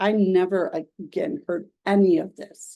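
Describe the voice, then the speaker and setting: A woman with a Minnesotan accent speaks in a dark, mellow tone. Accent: Minnesota. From US Midwest, Minnesota. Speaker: life coach and realtor. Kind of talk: online coaching presentation. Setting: screen-share video recording. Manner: conversational, energetic.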